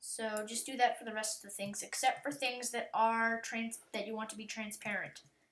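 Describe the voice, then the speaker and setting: Using a normal speaking voice, a woman with a fairly high pitch speaks at a moderate pace with fairly even intonation. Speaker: YouTube tutorial maker. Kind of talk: software tutorial. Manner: casual, with fillers.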